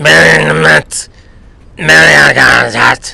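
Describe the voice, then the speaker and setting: Mumbling in a raspy, put-on character voice, a man speaks at a fairly slow pace. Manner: mumbled, hard to understand.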